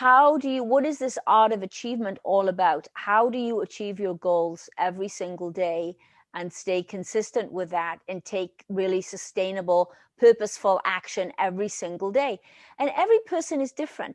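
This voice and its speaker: In a quiet background with a dry, close sound and no echo, a woman with a Welsh accent speaks at a medium pitch and moderate pace with lively intonation. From Wales. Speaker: leadership consultant. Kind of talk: interview answer.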